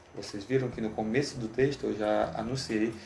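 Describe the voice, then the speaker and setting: A man with a fairly low pitch and ordinary pitch variation speaks at a moderate pace. Noticeable background noise and audible room echo fill the recording. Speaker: teacher. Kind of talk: lecture.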